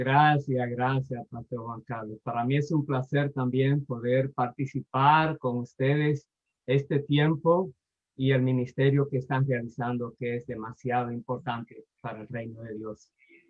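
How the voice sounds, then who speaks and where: With a plain, everyday voice, a man speaks fairly slowly at a medium pitch with fairly even intonation and big swings in loudness. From Dominican Republic. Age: 60s. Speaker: pastor and lecturer. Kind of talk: personal testimony.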